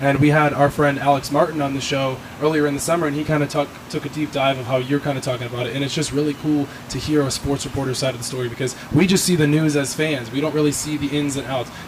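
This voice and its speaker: A man with an American accent talks at a very fast pace in a fairly high pitch. His intonation is monotone and flat, with noticeable background noise behind him. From Southwest Florida, Fort Myers. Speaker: podcast host. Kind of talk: casual chat. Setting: in person, Miami.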